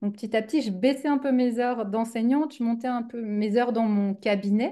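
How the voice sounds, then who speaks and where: Against a quiet background, a woman talks at a fairly quick pace in a dark, mellow tone. Her pitch is fairly high, and her intonation is fairly even. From Switzerland. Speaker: business coach, former teacher. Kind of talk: interview conversation. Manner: hesitant, many fillers.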